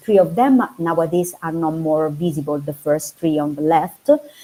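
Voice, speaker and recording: The speaker is a woman with a fairly low pitch. Her tone is dark and mellow. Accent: Italian. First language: Italian. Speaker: archaeology researcher. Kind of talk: academic talk. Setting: online video seminar. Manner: halting, many fillers.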